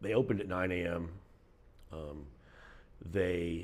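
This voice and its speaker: A man speaks at a fairly slow pace. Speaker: local resident vlogger. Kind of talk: casual vlog chat. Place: home room. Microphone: phone near.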